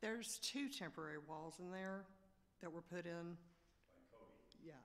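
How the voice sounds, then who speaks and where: A woman with a Southern US accent talks in a fairly low pitch with ordinary pitch variation. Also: moderate pace. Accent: Southern US (Georgia). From Georgia, US South. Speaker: small business owner applicant. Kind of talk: public meeting testimony. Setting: at a podium in a public meeting.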